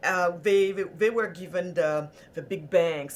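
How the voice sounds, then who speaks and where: A woman talks with a French accent. Her pitch sits at a medium level. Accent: French, formerly thick, now lighter. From Senegal. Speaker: entrepreneur and prosperity activist. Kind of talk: podcast interview.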